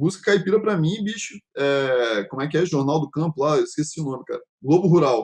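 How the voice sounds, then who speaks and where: A man with an unremarkable speaking voice talks at a fairly high pitch and a fairly quick pace, with hardly any pauses. His intonation is lively. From Brazil, Espírito Santo (Vitória). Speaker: podcast host. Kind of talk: casual chat.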